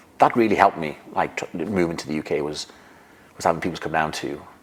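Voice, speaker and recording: Ordinary pitch variation from a male speaker, with noticeable background noise. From Denmark. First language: Danish. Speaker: physiotherapist and retired rugby player. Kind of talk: podcast interview. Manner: halting.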